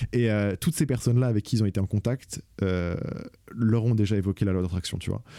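A man with a fairly low pitch and a dark, mellow tone speaks at a very fast pace in a very clean, dry, close recording with no echo and a silent background. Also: ordinary pitch variation. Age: 20s. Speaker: podcaster. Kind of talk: solo casual monologue.

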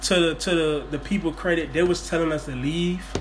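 Over background music and audible room echo, a man talks at a fairly quick pace. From New Orleans, Louisiana. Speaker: podcast host. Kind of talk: casual chat. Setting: at home, kitchen table.

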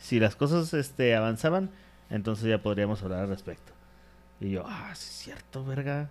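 A man talks at a moderate pace with a medium pitch. His intonation is lively and his loudness swings widely. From Mexico, Ciudad Juárez. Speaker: comedian and podcast co-host. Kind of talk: casual chat.

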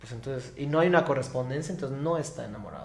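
With a Yucatecan accent, a man speaks at a fairly high pitch with ordinary pitch variation, and audible room echo surrounds his voice. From Yucatán, Mexico. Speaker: psychologist and activist. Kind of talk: interview. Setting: live stream at a community centre.

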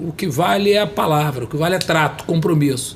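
A man's fairly high-pitched voice at a fairly quick pace, with noticeable background noise. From Brazil, São Gonçalo (Rio de Janeiro state). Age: 50s. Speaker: politician. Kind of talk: interview. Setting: studio.

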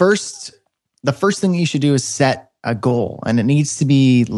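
Heard on a very clean recording with a silent background, an unremarkable speaking voice with a Canadian accent moves through ordinary pitch variation. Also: man. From northern Canada. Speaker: web developer and online course creator. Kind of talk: interview.

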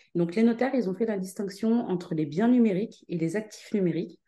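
Dark and mellow in tone, a woman's voice holds a medium pitch with ordinary pitch variation. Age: 30s. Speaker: startup founder. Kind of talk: interview.

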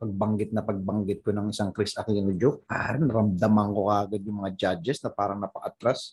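Speaking at a fairly quick pace with hardly any pauses, a man has a somewhat breathy voice with a fairly low pitch. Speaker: stand-up comedian. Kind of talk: casual chat. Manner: animated.

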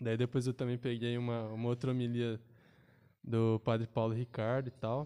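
Flat and monotone, a man speaks with a dark, mellow tone. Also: medium pitch for a man, moderate pace. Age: 20s. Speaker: university student and church altar server. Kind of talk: casual chat.

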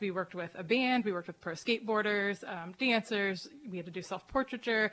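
A woman with an American accent speaks in a plain, everyday voice. Her pitch is medium and her pace moderate. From Erie, Pennsylvania. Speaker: reality show contestant. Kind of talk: casual chat.

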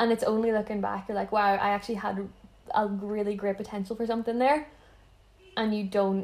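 A woman with a medium pitch talks fairly quickly in a monotone, flat delivery. She leaves long, frequent pauses. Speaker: podcast guest, friend of host. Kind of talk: casual chat.

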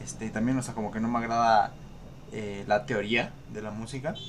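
Fairly even intonation and a medium pitch from a man at a moderate pace, amid noticeable background noise. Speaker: podcast co-host. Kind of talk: casual chat.

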